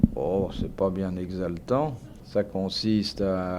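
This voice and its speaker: A man talks in a very deep, low pitch. His pitch varies in an ordinary way. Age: 40s. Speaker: journalist and radio host. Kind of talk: interview answer.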